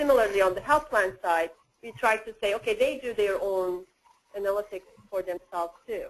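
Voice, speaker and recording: The speaker has a non-native accent. The pace is fairly quick. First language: not English. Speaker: workgroup facilitator presenting a diagram. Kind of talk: work meeting discussion.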